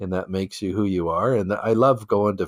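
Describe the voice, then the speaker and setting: A man's very deep, low voice in a dry, close sound with no echo. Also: very clean recording, silent background. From Canadian prairies (Regina, Saskatchewan). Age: 60s. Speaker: entrepreneur. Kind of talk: podcast interview. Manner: conversational, frequent fillers and repetitions.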